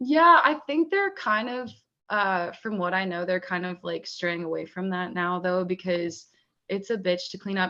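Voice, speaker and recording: A woman with an American accent, medium pitch, a bright, sharp tone and ordinary pitch variation. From Pennsylvania, North Central. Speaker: musician. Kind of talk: casual chat.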